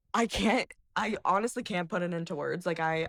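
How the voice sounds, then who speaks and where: A woman with vocal fry speaks at a fairly quick pace with ordinary pitch variation. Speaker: podcast guest. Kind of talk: casual chat. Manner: halting.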